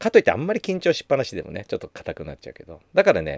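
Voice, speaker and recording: The recording of this man is very clean, with a silent background and a dry, close sound free of echo. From Japan, Gunma (Takasaki). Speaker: spiritual podcast host. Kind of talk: casual monologue.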